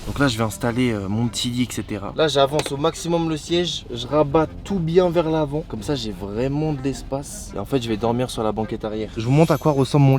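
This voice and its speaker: A man at a moderate pace with lively intonation, music in the background. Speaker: YouTuber. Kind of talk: vlog. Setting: in a car. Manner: casual.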